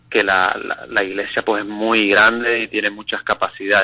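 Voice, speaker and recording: His intonation is fairly even. The voice belongs to a man. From Canary Islands, Spain. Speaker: pastor. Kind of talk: radio interview testimony.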